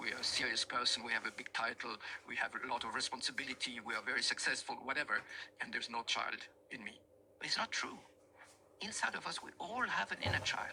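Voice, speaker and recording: Here a man talks at a very fast pace. His pauses are long and frequent. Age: 70s. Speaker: teacher on love and relationships. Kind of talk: lecture.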